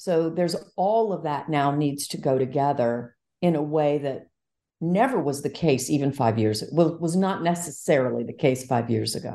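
In a slight Southern US accent, a woman with a very deep, low pitch and a dark, mellow tone speaks at a moderate pace with ordinary pitch variation over a quiet background. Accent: slight US Southern twang. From Quebec, Montreal. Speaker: tech entrepreneur and investor. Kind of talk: interview.

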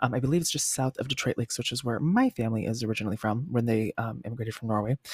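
A man with an American accent speaks at a very fast pace in an animated tone. His voice is somewhat breathy, with a dry, close sound and no echo. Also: medium pitch for a man, ordinary pitch variation. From Washington State. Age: 30s. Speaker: podcast host. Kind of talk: casual storytelling monologue.

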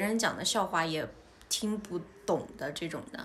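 A woman's pitch moves in an ordinary way while the room lends her speech an audible echo. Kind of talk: casual interview and monologue for learners. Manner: clear, deliberate for learners.

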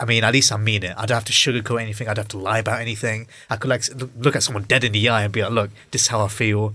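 Very fast, flat monotone delivery with a bright, sharp tone and a British accent. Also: man, medium pitch for a man. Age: 20s. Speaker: podcast host and aspiring filmmaker. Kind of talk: casual chat. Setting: studio, in-person recording, socially distanced.

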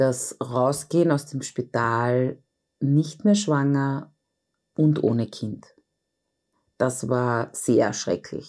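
A woman speaks at a very slow pace with long, frequent pauses. Her very deep, low pitch carries a dark, mellow tone and ordinary pitch variation. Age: 40s. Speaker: intensive care nurse and bereaved mother. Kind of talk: interview testimony.

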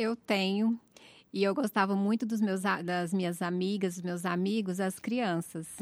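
A woman with an unremarkable speaking voice talks at a fairly slow pace and medium pitch. Her intonation is fairly even, and the sound is dry and close with no echo. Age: 40s. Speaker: seminary student. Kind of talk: casual interview.

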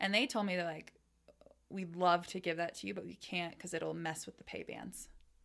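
Someone with a Californian accent speaks at a moderate pace with fairly even intonation. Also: woman, fairly low pitch for a woman. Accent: general American, Californian. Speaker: product marketing manager. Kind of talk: casual interview chat.

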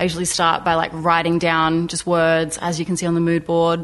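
A woman speaks with an Australian accent. Her pitch is fairly low. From South Australia, Port Augusta. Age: 20s. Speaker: artist. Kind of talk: interview. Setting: studio.

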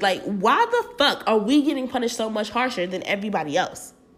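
A woman with an animated tone, medium pitch and ordinary pitch variation, amid noticeable background noise. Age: 20s. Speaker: podcast host. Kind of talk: casual monologue.

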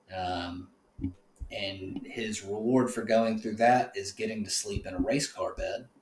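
The speaker talks at a fairly slow pace. Noticeable background noise is audible. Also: man. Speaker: podcast host. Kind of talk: casual chat. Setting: in person studio.

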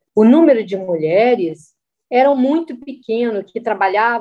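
In a plain, everyday voice, a woman with a fairly high pitch speaks at a fairly slow pace with lively intonation. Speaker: civil engineer. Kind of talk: personal testimony.

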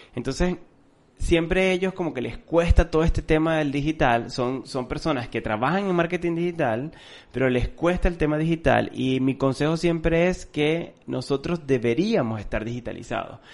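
A man speaks in a plain, everyday voice, pitched fairly high. His pace is moderate, with ordinary pitch variation. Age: 30s. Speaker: marketing podcast co-host. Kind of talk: casual chat. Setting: recording room.

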